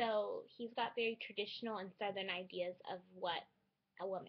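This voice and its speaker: Moderately paced speech comes from a woman in an American accent. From California, San Francisco Bay Area. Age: 20s. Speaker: student vlogger. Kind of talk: personal vlog monologue.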